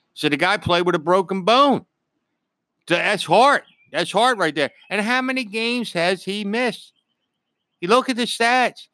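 In a Philadelphia accent, a man speaks at a moderate pace with a high, bright, sharp voice, raised and projected, with lively intonation and long, frequent pauses. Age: 50s. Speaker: host's father, sports fan. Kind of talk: casual sports debate. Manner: animated.

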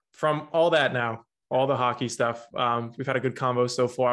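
With an American accent, a man talks at a fairly quick pace in an ordinary speaking voice at medium pitch. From New Jersey. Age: 20s. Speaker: podcast host and pharmacy student. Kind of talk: casual interview.

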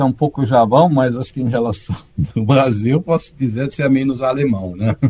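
A man speaks at a moderate pace and medium pitch, somewhat breathy. His tone is dark and mellow, with ordinary pitch variation. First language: German (speaking Portuguese). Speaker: tax auditor. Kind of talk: interview. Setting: video call. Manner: halting.

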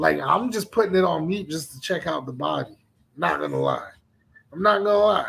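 Big swings in loudness, an animated tone and a fairly quick pace, with an American accent. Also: man. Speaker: podcast and stream host. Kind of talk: casual chat. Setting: studio.

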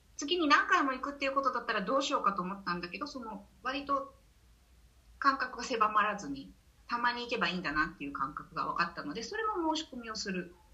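Over noticeable background noise, a woman with a high pitch talks at a very fast pace, her pitch swinging very widely and her loudness rising and falling sharply. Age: 50s. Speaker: menopause course instructor. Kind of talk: casual interview.

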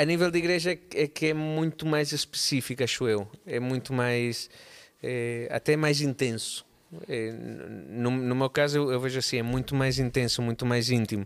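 At a moderate pace, a man speaks in a normal speaking voice of medium pitch with ordinary pitch variation. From Barcelona, Spain. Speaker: musician and drummer. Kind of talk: casual chat.

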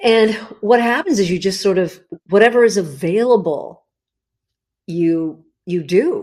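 A woman's medium-pitched voice in a Californian accent, fairly slow, with lively intonation and long, frequent pauses. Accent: General American (Californian). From US West Coast, Los Angeles. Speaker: cookbook author. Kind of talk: podcast interview.

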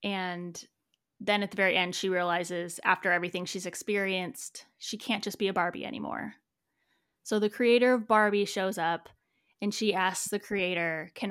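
An unremarkable speaking voice at a moderate pace, fairly even in intonation, in a very clean recording with a silent background. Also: woman. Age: 30s. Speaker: podcast co-host. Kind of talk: casual chat.

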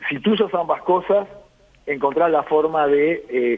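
A man with an unremarkable speaking voice and a fairly high pitch talks fairly slowly, his pitch varying in an ordinary way. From Uruguay. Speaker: beekeeper and agronomist. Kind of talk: radio interview.

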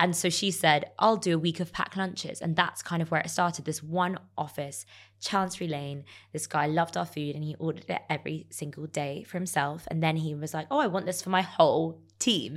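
In a London accent, a woman with a fairly low pitch speaks with fairly even intonation on a very clean recording with a silent background. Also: fairly quick pace. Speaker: entrepreneur. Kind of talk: interview.

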